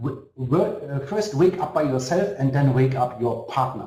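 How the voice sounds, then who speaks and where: A man with a German accent talks at a fairly high pitch with lively intonation. Audible room echo surrounds his voice. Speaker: network marketing company executive. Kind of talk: motivational webinar. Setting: online webinar. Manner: halting.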